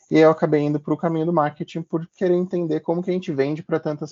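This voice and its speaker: A man speaks at a fairly quick pace. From Brazil, moved between many cities. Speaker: marketing professional presenting a workshop. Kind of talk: workshop presentation. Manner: casual, with many filler words.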